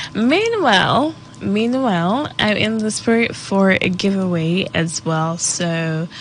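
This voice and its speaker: A woman is speaking. Her pace is very slow. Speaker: radio show host. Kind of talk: radio talk show monologue. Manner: casual, chatty.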